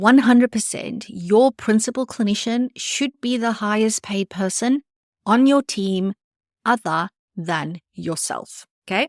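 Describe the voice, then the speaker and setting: On a very clean recording with a silent background, a woman's voice comes through dry and close, with no echo. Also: fairly high pitch for a woman, ordinary pitch variation, fairly slow pace. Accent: non-native. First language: not English. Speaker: podcast host, private practice business coach. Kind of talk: solo podcast monologue. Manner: conversational, direct address.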